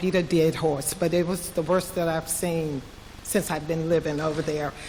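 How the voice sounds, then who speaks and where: Clear background noise runs throughout. The voice moves along fairly briskly. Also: woman. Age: 60s. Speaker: resident speaking at a public listening session. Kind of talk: public comment. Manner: halting.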